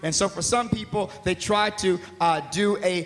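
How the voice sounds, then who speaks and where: A man speaks loudly. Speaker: pastor. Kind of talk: sermon. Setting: stage with audience. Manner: animated. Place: church. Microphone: handheld.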